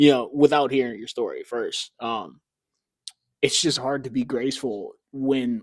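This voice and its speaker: With an American accent, a man in a normal speaking voice talks at a fairly slow pace and medium pitch, his intonation fairly even but his loudness swinging widely, on a very clean recording with a silent background. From United States. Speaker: podcast host. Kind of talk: casual chat.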